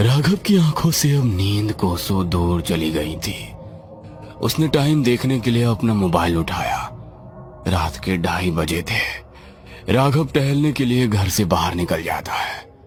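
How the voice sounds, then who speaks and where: A man performs a cartoonish character voice at a fairly low pitch and a moderate pace. Music plays clearly in the background. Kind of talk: horror narration. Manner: slow, suspenseful.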